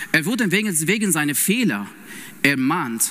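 Against noticeable background noise, a man talks with very wide pitch swings. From Iran. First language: Persian (speaking German). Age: 30s. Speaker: lay preacher and intensive care nurse. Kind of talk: sermon. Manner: halting, with many fillers.

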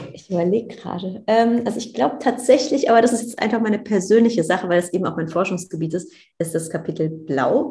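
At a very fast pace, a woman talks with lively intonation and a somewhat breathy voice. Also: medium pitch for a woman. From Germany, Cologne. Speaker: astronaut trainee and astrophysicist. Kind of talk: casual interview.

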